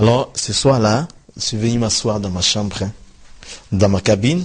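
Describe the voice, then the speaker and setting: Speaking with a West African accent, a man is somewhat breathy at a medium pitch. His pace is fairly slow and his pitch varies in an ordinary way. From Ivory Coast. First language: Dioula (speaking French). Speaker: former imam turned pastor. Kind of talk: interview testimony.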